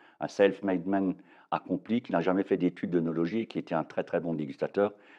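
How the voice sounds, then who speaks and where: A man's very deep, low voice at a moderate pace. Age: 60s. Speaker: winegrower. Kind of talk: interview. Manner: hesitant, many fillers.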